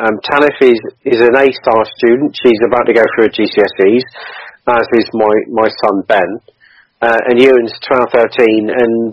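A man speaks with an unremarkable speaking voice at a medium pitch. His pace is fairly slow and his intonation fairly even. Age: 40s. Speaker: charity cyclist and Air Force veteran. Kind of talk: interview.

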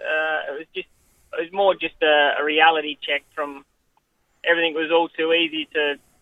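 Here a man talks with an Australian accent. His intonation is monotone and flat. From Western Australia, Goldfields (Coolgardie). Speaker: jockey. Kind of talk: interview.

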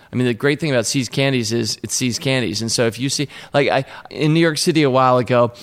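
Very fast speech comes from a man with an American accent. His pitch is medium, with ordinary variation. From Washington, D.C. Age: 50s. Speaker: investor and company co-founder. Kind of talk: casual interview. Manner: energetic.

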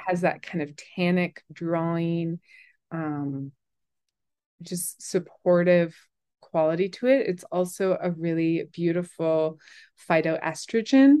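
Very slowly, a woman speaks with an American accent and long, frequent pauses. Her voice is fairly low with ordinary pitch variation and a dark, mellow tone. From Colorado, US. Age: 40s. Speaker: herbalist. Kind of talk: interview.

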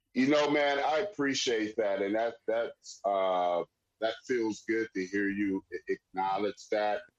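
At a very slow pace, a man talks with ordinary pitch variation and very even loudness. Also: medium pitch for a man, dry, close sound with no echo. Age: 50s. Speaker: sports league founder and entrepreneur. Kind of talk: casual interview.

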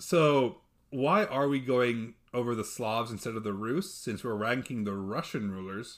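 A man with an American accent talks at a fairly slow pace in an ordinary speaking voice, at medium pitch with ordinary pitch variation. The recording is very clean, with a silent background. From Texas. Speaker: podcast host, history presenter. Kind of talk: casual chat.

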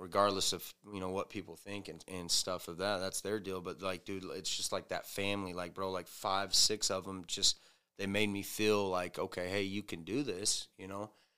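On a very clean recording with a silent background, a man with an American accent speaks at a moderate pace in a very deep, low voice, his tone bright and sharp, his loudness swinging widely and his intonation fairly even. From US South, Arkansas. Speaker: recovering addict, softball player. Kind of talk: testimony. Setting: studio.

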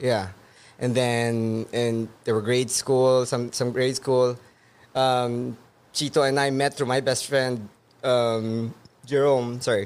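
Very slowly, a man speaks with monotone, flat intonation. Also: medium pitch for a man. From Philippines. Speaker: rock band bassist. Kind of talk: interview.

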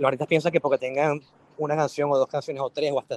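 A Venezuelan accent in a dry, close sound with no echo. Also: man. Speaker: record label A&R director. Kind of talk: casual chat. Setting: online audio room. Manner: halting, many repetitions.

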